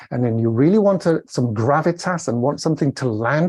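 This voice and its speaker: Over a quiet background, a man speaks with a Welsh accent. His tone is dark and mellow, and somewhat breathy. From Wales. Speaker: communication coach. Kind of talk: interview. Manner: about 140-150 words a minute.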